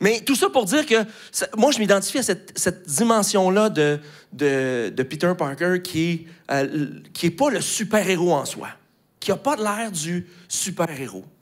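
Against a quiet background, a man with a Quebec accent talks at a fairly slow pace with high pitch and very wide pitch swings. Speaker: pastor. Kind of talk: sermon. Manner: hesitant with many fillers. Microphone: handheld.

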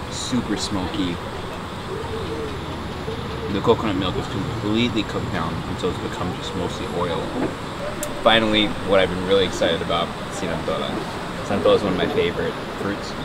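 Loud background noise fills the clip while a man talks fairly quickly, his voice dry and free of echo. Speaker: travel food host. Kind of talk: casual vlog chat.

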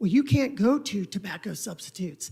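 Her voice is somewhat breathy, with lively intonation. This woman speaks at medium pitch. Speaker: attorney for an applicant. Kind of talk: legal argument at a council hearing. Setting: council chamber. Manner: quiet.

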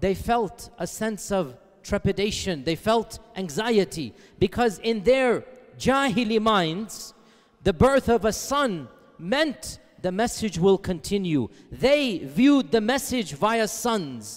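A man speaks very slowly, with a quiet background behind him. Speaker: religious lecturer. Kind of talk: lecture. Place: hall. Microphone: headset.

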